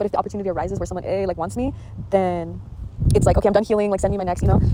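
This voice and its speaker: A woman talking very fast over noticeable background noise. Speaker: podcast host. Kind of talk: personal reflection monologue. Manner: halting, repeats words; casual, filler-heavy.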